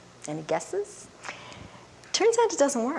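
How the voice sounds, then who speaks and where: A woman speaks over noticeable background noise. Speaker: developmental psychologist. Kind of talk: lecture. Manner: fast.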